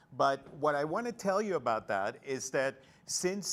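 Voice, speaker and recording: The man talks very slowly. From El Salvador. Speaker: makeup artist. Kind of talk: live event talk. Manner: loud, projecting.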